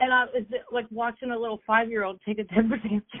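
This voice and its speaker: A woman speaks at a fairly high pitch. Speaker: former jail inmate. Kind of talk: interview. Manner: casual, halting.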